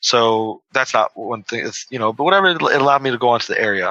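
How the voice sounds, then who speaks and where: Here a man talks at a medium pitch. His pitch variation is ordinary. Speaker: public speaker. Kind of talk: casual interview chat. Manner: soft-spoken.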